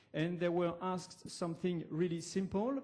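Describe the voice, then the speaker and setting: With a French accent, a man speaks at a high pitch and a moderate pace. His tone is dark and mellow, his intonation fairly even. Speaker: academic researcher. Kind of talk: conference presentation. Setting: university lecture hall. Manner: halting, many fillers.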